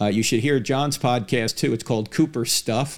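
Fairly even in intonation, a man with a plain, everyday voice talks at a fairly quick pace on a very clean recording with a silent background. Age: 60s. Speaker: podcast host, apologist. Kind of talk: interview; monologue.

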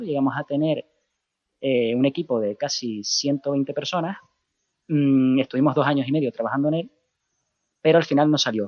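Long, frequent pauses break up speech delivered at a moderate pace. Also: man. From Canary Islands, Spain. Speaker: comic writer and project creator. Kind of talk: interview. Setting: phone call.

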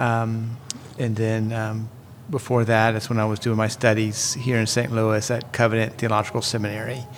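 A man talks in a monotone, flat way. Noticeable background noise is present. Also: medium pitch for a man, moderate pace. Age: 40s. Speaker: ministry director. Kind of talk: casual chat.

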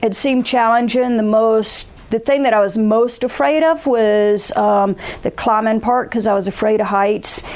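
Speaking with a Southern US accent, the voice holds very even loudness and ordinary pitch variation over noticeable background noise. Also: woman, fairly high pitch for a woman, moderate pace. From US South, South Carolina. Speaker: alpinist. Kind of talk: casual interview. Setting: in person at an ice climbing festival. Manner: halting, with many fillers.

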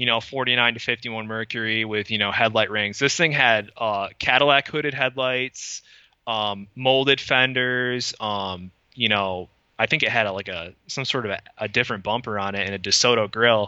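A man with an American accent has an unremarkable speaking voice, medium in pitch, with ordinary pitch variation and a moderate pace. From Michigan, west side. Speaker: custom car historian and researcher. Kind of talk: casual interview. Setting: in-person recording.

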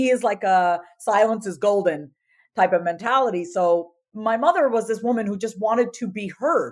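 An ordinary speaking voice with an American accent, at a moderate pace. The pitch varies in an ordinary way. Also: woman, fairly high pitch for a woman. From US, Indian immigrant family. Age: 30s. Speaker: confidence coach. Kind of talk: interview.

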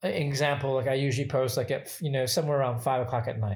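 A man speaks with an American accent in a somewhat breathy voice. The recording is very clean, with a silent background. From Michigan, US Midwest. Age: 40s. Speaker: bartender and cocktail photographer. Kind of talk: casual interview. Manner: filler-heavy, lots of 'you know' and 'um'.

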